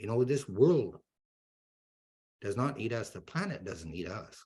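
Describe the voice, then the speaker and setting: A man speaks at medium pitch and a moderate pace. His voice is somewhat breathy. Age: 60s. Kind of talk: educational talk. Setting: webinar.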